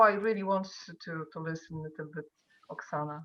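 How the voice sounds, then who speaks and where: In a Polish accent, a woman speaks with a very deep, low pitch and fairly even intonation. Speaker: artist. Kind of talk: casual chat. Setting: video call. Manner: halting.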